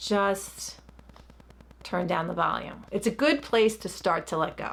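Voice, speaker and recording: With a Long Island accent, a woman talks at a fairly slow pace in a medium pitch, her intonation lively. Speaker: licensed therapist. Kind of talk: guided meditation instruction; casual explanatory talk.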